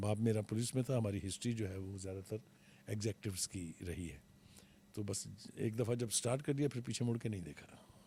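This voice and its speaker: At a moderate pace, a man talks in a fairly low pitch with ordinary pitch variation and a dark, mellow, somewhat breathy tone. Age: 70s. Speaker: veteran journalist and TV analyst. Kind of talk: interview.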